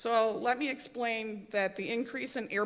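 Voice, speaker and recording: With fairly even intonation, a woman speaks at a fairly slow pace in a fairly high pitch. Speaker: public commenter, nurse. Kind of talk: public hearing comment. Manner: loud.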